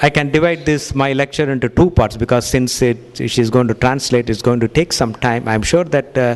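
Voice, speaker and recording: Speech rushes along at a very fast pace with hardly any pauses. Pitch variation is ordinary. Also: man, medium pitch for a man. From India. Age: 60s. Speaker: cardiologist giving a health lecture. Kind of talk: lecture with consecutive interpretation. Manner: halting, many fillers.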